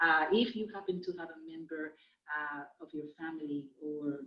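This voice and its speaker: Speaking at a moderate pace, a woman with a Spanish accent has a very deep, low pitch. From Dominican Republic, raised largely in the US. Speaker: Spanish teacher. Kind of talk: recorded class introduction. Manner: hesitant, many fillers.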